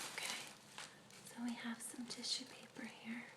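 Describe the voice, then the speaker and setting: Noticeable background noise accompanies a woman speaking in a high pitch at a fairly slow pace. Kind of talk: ASMR role play, clinic receptionist/therapist scene. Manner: soft whisper, slow, soothing.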